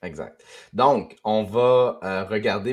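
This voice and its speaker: With a Quebec accent, a man with a fairly low pitch speaks with ordinary pitch variation against a quiet background. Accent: Québécois French. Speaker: podcast host. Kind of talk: casual chat. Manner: halting.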